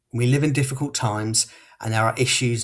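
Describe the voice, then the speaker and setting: Speaking at a fairly quick pace, a man uses a southern English accent and medium pitch. His voice is somewhat breathy, with fairly even intonation. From southern England, Portsmouth. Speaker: local election candidate. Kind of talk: closing campaign speech. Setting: podcast hustings.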